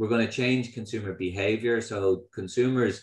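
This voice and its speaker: Against a quiet background with audible room echo, a man speaks with an Irish accent and fairly even intonation. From Ireland. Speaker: company founder and CEO. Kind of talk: keynote talk. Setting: online video event with audience. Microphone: video call.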